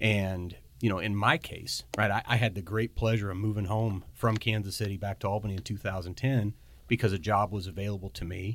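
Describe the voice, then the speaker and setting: A man with a Midwestern American accent, fairly low pitch, fairly even intonation and a fairly quick pace, on a very clean recording with a silent background. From rural northwest Missouri. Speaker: hospital association executive. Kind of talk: podcast interview.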